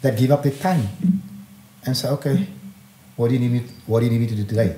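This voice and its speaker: A man's dark, mellow, somewhat breathy voice at medium pitch, with ordinary pitch variation and a very fast pace. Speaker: community activist and political party leader. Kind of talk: impassioned podcast interview. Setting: studio. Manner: animated.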